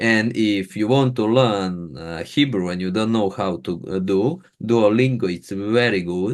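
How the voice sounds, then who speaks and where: Against a quiet background, a man with a non-native accent speaks fairly slowly at a fairly low pitch, with ordinary pitch variation. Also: hardly any pauses. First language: not English. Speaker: podcast host. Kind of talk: interview podcast. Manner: halting.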